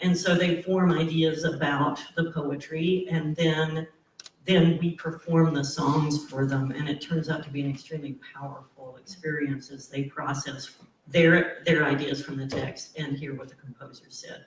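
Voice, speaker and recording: A man speaks at moderate pace and fairly high pitch, monotone and flat in intonation, with big swings in loudness. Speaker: college professor and singer. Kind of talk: panel discussion.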